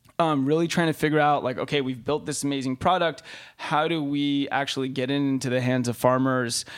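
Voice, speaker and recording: An American accent at a fairly quick pace, in a very clean recording with a silent background. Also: man. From Los Angeles, California. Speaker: tech and finance investor. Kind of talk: interview. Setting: conference room.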